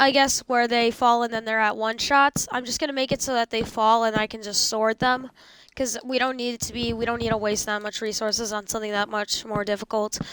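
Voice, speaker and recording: A woman speaks at a fairly high pitch. Her intonation stays monotone and flat. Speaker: gaming youtuber. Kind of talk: gameplay commentary. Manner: fast; halting.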